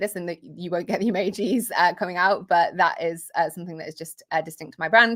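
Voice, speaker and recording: On a very clean recording with a silent background, a woman with a British accent speaks with ordinary pitch variation. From Britain. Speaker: marketing coach and software founder. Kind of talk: livestream tutorial. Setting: home office livestream. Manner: informal, many fillers.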